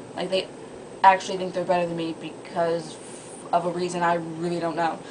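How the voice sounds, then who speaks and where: A woman with a medium-pitched voice talks while noticeable noise runs in the background. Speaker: vlogger. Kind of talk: casual vlog monologue. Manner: fast; animated.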